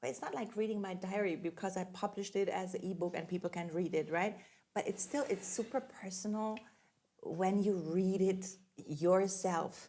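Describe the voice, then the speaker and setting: At a moderate pace, a woman speaks at medium pitch with a dark, mellow tone, ordinary pitch variation and a slight non-native accent. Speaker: podcast co-host and recording artist. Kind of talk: casual chat. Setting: studio.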